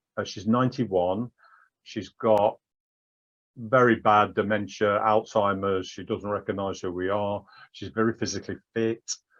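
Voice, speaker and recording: In an English accent, a man speaks at a moderate pace with a monotone, flat intonation. His pitch is fairly low, and the background is quiet. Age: 60s. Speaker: patient advocate with prostate cancer. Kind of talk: interview testimony. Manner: halting, with repetitions.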